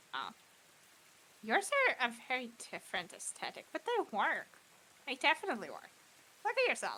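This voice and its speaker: A put-on character voice speaks at a high pitch. Long, frequent pauses break up the delivery. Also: fairly quick pace. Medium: actual play. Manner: chatty, casual.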